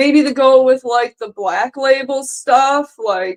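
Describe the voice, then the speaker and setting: Her pitch is high. The woman speaks at a very slow pace. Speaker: streamer. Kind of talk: casual chat. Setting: live stream. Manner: casual, many filler words.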